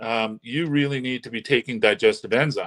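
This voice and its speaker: A man with a normal speaking voice and medium pitch talks at a fairly quick pace in a dry, close sound with no echo. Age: 60s. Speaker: holistic health doctor. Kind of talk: interview explanation.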